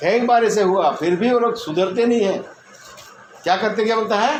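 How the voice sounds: A man talks at a high pitch with lively intonation and a fairly slow pace. Room echo is audible.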